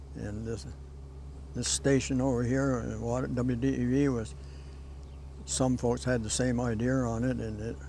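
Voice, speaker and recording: A man with a New England accent speaks at a moderate pace, taking long, frequent pauses amid audible room echo. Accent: rural New England. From Vermont. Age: 80s+. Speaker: longtime local resident. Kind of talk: interview reminiscence.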